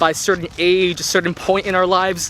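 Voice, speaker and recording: A man talks in a high pitch over noticeable background noise. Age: 20s. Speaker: intern. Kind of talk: casual vlog talk to camera. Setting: outdoors.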